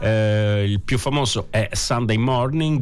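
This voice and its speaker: Over noticeable background noise, a man talks very slowly at medium pitch with fairly even intonation. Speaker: radio host. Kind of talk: radio show presentation, casual. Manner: rambling, hesitant, conversational.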